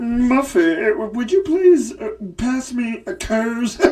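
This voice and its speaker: This put-on character voice sits at a fairly high pitch and moves very slowly, with light background noise underneath. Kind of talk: affectedly refined. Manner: snooty, posh.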